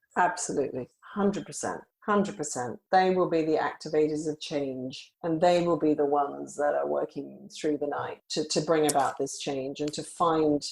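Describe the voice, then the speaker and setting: At a moderate pace, a woman with an Australian accent speaks in a very deep, low pitch with fairly even intonation. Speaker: rare disease company founder. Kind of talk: podcast interview.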